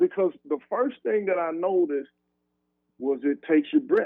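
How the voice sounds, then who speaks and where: This man's voice sits high in pitch and swings very widely up and down. He talks at a moderate pace. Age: 50s. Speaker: former college football wide receiver. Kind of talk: casual interview.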